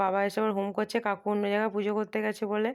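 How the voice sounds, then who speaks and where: Monotone, flat intonation comes through in a very clean recording with a silent background. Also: woman. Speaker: lifestyle vlogger. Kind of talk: casual vlog narration.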